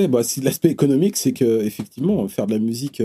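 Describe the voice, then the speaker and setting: Speaking at a very fast pace, a man with a medium pitch and a dark, mellow tone uses lively intonation, the sound dry and close with no echo. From Paris suburbs, Seine-Saint-Denis. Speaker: rapper and music teacher. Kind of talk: casual interview chat.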